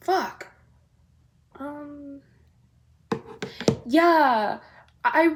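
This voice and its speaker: A loud, animated woman's voice. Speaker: vlogger. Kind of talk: casual chat.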